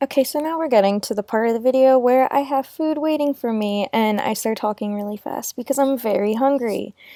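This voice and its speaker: A woman with a high pitch and a dark, mellow tone talks at a fairly quick pace with hardly any pauses and ordinary pitch variation, the sound dry and close with no echo. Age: 20s. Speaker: lifestyle vlogger. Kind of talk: try-on haul video. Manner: fast.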